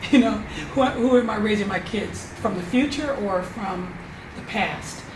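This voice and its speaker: An American accent amid noticeable background noise and audible room echo. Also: woman, fairly high pitch for a woman, ordinary pitch variation, fairly slow pace. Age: 60s. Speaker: storyteller and event producer. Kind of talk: interview. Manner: halting.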